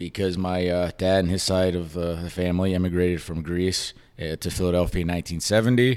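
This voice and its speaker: A man with an American accent talks at a fairly quick pace in a very deep, low pitch with fairly even intonation, on a very clean recording with a silent background. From US South, Orlando, Florida. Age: 30s. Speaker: sports podcast host. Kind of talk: casual chat. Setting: rented apartment.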